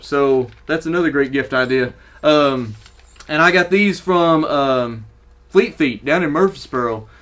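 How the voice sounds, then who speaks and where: With a Southern US accent, a man talks using ordinary pitch variation. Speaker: running gear YouTuber. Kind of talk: casual product review. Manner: casual, halting with fillers.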